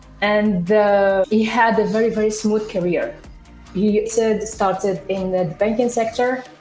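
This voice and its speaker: Fairly slow, fairly even speech over music in the background. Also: woman. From Morocco. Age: 30s. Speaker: entrepreneur. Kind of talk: interview.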